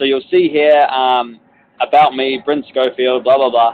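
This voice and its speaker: In a New Zealand accent, a man talks at a medium pitch and a moderate pace. His intonation is monotone and flat. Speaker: corporate trainer. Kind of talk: webinar tutorial. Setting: outdoors on a balcony, online webinar. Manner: casual, filler-heavy.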